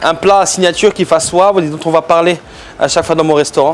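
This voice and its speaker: With noticeable background noise behind him, a man talks at a moderate pace in a fairly high voice with fairly even intonation. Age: 40s. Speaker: chef. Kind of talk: cooking tutorial. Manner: hesitant, many fillers.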